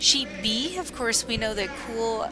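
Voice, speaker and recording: Against noticeable background noise, a woman with an American accent speaks in a fairly high pitch. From Wisconsin, US Midwest. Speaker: curling commentator. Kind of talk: live sports commentary.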